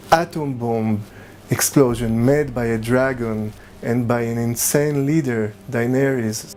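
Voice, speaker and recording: With music in the background, a man with an Israeli accent speaks at a medium pitch and a fairly slow pace, his intonation fairly even. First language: Hebrew. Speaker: filmmaker and spiritual guide. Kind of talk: commentary talk to camera.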